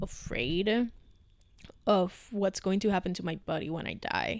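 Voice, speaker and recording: A woman with a Spanish accent speaks at a moderate pace. Her pitch sits in the medium range. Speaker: podcast co-host. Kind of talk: casual chat.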